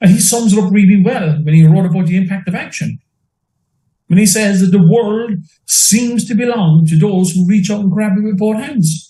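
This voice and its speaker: A man with an Irish accent speaks at a high pitch in a dark, mellow tone. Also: ordinary pitch variation, moderate pace. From Limerick, Ireland. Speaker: entrepreneur and business mentor. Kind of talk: interview answer.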